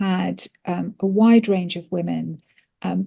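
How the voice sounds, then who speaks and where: A woman with a British accent, speaking very slowly at a medium pitch, her tone dark, mellow and somewhat breathy, on a very clean recording with a silent background. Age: 60s. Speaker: pharmacist. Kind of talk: interview. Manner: hesitant, many fillers.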